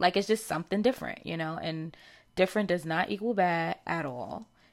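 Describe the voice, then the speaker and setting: A woman with a New York accent, fairly low in pitch, at a moderate pace. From New York (Harlem). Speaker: podcast host and stylist. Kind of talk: casual chat.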